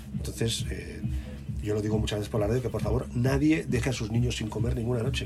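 Amid audible room echo and music in the background, a man talks at a very fast pace with very wide pitch swings. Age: 40s. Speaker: DJ and radio music director. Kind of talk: interview.

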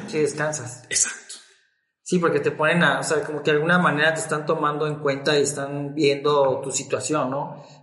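There is audible room echo around a man who talks fairly quickly at a fairly high pitch, his intonation monotone and flat. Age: 30s. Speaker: business administrator. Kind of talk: casual chat.

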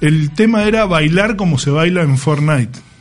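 A man speaks at a fairly slow pace in a fairly high pitch with lively intonation, music playing in the background. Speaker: radio host. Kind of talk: casual chat.

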